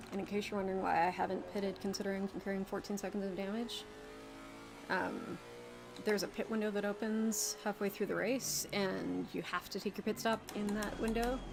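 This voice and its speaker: Over music in the background, a soft-spoken woman talks at a fairly quick pace in a medium pitch with monotone, flat intonation. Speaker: sim racing streamer. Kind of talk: live gameplay commentary.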